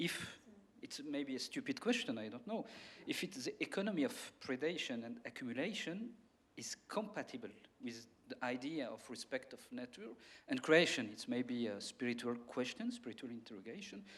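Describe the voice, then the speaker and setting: A man's fairly high voice rises and falls very widely as he talks at a middling speed. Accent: non-native. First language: not English. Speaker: audience member. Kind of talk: audience question. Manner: halting.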